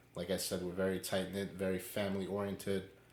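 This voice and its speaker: Audible room echo surrounds a man with a very deep, low pitch who talks in a New York accent at a fairly quick pace. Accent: New York City. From New York City, Queens. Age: 20s. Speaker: podcast co-host. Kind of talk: casual chat.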